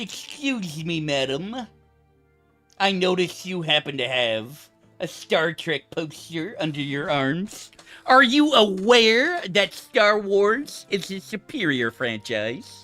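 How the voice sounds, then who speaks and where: With faint music in the background, a man does a high-pitched, put-on character voice at a fairly slow pace. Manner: pompous, condescending.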